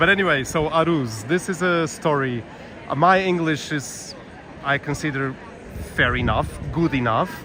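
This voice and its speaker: Over noticeable background noise, a man talks at a moderate pace in a fairly high pitch, with ordinary pitch variation and long, frequent pauses. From Portugal. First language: Portuguese. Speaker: walking tour live streamer. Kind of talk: live-stream walking commentary. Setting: outdoors, walking city streets. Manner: chatty, with fillers and repetitions.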